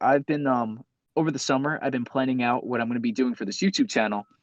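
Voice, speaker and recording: A man speaks at a very fast pace and medium pitch. The sound is dry and close, with no echo. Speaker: gaming content creator. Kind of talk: interview. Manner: animated.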